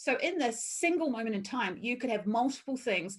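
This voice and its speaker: A somewhat breathy voice with a New Zealand accent speaks at a moderate pace. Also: woman. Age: 50s. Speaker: workshop presenter. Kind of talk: online talk.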